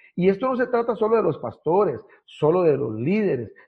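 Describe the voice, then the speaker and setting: A man with a high-pitched voice speaks with lively intonation. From southern Costa Rica, Ciudad Neily near Panama border. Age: 30s. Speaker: pastor. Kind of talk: casual interview. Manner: halting, many repetitions.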